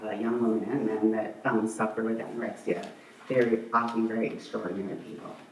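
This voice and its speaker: Monotone and flat in intonation, a man at medium pitch talks at a fairly quick pace. Noticeable background noise and audible room echo are present. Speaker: bereaved parent speaking at memorial. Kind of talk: eulogy. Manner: hesitant, many fillers.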